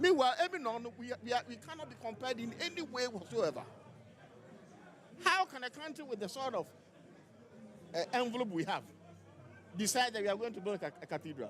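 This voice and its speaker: Crowd noise fills the background as a man speaks in an animated tone, at an extremely high pitch with very wide pitch swings. He goes at a very fast pace yet leaves long, frequent pauses. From Ghana. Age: 60s. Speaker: lawyer and party official. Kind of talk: live interview at party congress.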